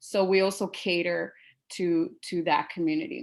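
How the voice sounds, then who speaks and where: Here is a woman with a Spanish accent. She speaks at a fairly slow pace. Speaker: teacher. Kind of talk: panel presentation. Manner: halting.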